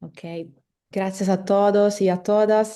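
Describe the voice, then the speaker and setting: A voice with a dark, mellow tone speaks in an Italian accent. The intonation is monotone and flat, and the background is quiet. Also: woman. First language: Italian (speaking Spanish). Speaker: legal philosopher, postdoctoral researcher. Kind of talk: academic lecture. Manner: halting, with hesitations and self-corrections.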